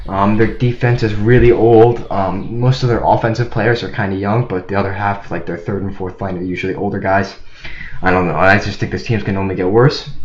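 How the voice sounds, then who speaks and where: A man mumbles at a fairly quick pace with a fairly low pitch and fairly even intonation. Noticeable background noise and audible room echo come through. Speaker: sports channel youtuber. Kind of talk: casual sports commentary monologue. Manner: halting, stuttering; mumbling. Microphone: cheap low-quality microphone.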